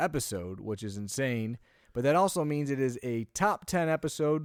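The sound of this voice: A man's fairly high voice with big pitch swings at a fairly slow pace, in a very clean recording with a silent background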